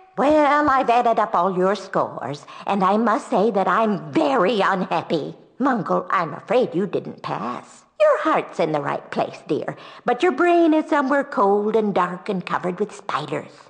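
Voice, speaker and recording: A female-sounding voice does a put-on character voice at a moderate pace and a medium pitch for a woman. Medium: video game. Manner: sweetly condescending, prim.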